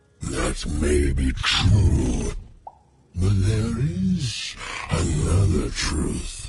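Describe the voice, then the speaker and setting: Growling in a put-on character voice, a man speaks very slowly at a very deep, low pitch. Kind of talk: fairy-tale narration. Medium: video game.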